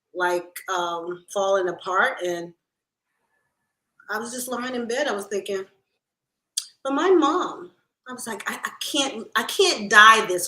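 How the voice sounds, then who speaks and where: A woman with a fairly high pitch and lively intonation talks at a fairly slow pace, with long, frequent pauses and big swings in loudness. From Baltimore, US. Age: 60s. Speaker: expat sharing her experience. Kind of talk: interview. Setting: livestream.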